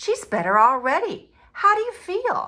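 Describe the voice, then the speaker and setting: In a put-on character voice, this squeaky speaker moves at a moderate pace with very wide pitch swings. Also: woman. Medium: read story. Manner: polite, gentle.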